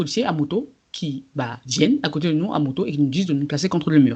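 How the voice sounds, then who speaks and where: At a fairly quick pace, a woman speaks in a very deep, low pitch with lively intonation. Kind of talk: casual podcast conversation.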